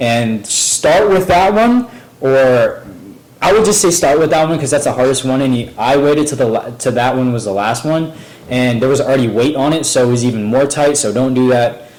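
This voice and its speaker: Audible room echo and noticeable background noise surround a man. His medium-pitched voice has ordinary pitch variation. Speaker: DIY car repair youtuber. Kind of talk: tutorial. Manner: fast; hesitant, many fillers.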